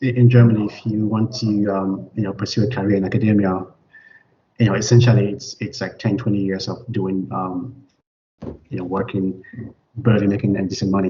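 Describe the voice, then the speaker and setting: A man's fairly low, somewhat breathy voice at a fairly quick pace, with fairly even intonation and long, frequent pauses. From Cameroon. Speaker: immunologist. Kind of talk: interview. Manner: halting, many repetitions and fillers.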